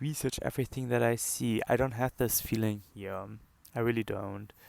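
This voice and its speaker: The speaker's accent is non-native. He is a man. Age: 20s. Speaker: medical student. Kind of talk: casual talk to camera. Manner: hesitant, many filler words.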